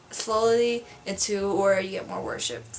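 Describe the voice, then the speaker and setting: Through noticeable background noise, a woman at medium pitch mumbles. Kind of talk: casual talk to camera. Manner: mumbling.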